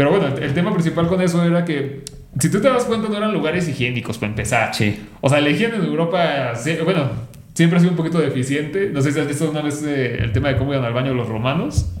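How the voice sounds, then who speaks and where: A man's fairly high voice with a Mexican accent at a very fast pace, with audible room echo and noticeable background noise. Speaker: doctor. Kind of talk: casual chat.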